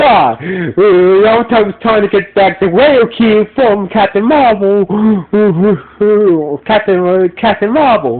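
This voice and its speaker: A high-pitched man talks with hardly any pauses. Noticeable background noise runs underneath. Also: ordinary pitch variation, very even loudness. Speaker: podcast reviewer. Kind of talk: casual review monologue. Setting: audio podcast recording. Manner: loud and slow; halting, many repetitions.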